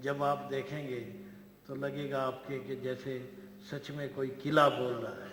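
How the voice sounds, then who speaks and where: This man talks in a fairly high pitch with monotone, flat intonation. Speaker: event emcee. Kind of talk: formal stage hosting speech.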